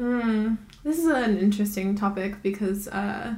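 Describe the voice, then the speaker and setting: Somewhat breathy speech comes at a fairly slow pace with fairly even intonation and audible room echo. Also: woman. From Hawaii. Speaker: podcast co-host. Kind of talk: casual chat.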